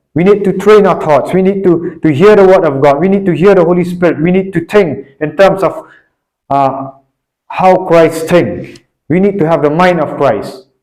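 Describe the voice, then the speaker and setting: With ordinary pitch variation, the delivery holds a moderate pace. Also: man, high pitch for a man. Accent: non-native. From Northeast India (Shillong, Meghalaya). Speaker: preacher. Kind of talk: sermon. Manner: halting, with frequent repetitions and fillers.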